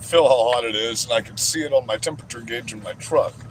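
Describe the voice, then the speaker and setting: A man talks at a very fast pace and medium pitch with ordinary pitch variation. Noticeable background noise is present. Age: 40s. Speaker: livestreamer. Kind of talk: livestream chat. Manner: loud; animated.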